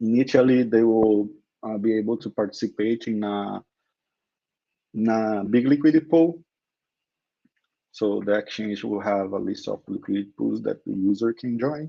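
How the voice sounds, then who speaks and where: A man with a Brazilian Portuguese accent talks at a medium pitch and a moderate pace, using ordinary pitch variation. His tone is dark and mellow, with long, frequent pauses against a quiet background. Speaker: crypto company co-founder. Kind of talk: interview. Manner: halting.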